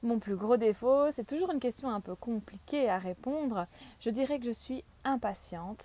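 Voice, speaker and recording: Fairly slowly, a woman speaks in a dark, mellow tone. Her pitch is fairly high, with ordinary pitch variation. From Belgium, Limburg (Genk). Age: 30s. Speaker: local election candidate. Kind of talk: campaign self-presentation.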